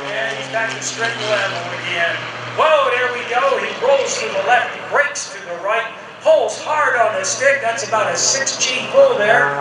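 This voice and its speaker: Over loud background noise and audible room echo, the speech moves at a fairly slow pace. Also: man. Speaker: airshow announcer. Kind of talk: live commentary. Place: open country.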